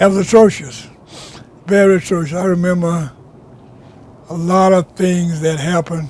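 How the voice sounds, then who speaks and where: A man with a high pitch speaks at a moderate pace, his intonation fairly even and his long pauses frequent, over noticeable background noise. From US South (rural Alabama). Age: 90s. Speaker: oral history interviewee. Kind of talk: oral history interview. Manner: halting, repetitive.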